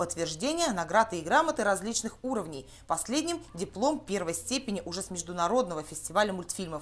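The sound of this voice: Her pitch fairly low, a woman talks at a fairly quick pace with big pitch swings.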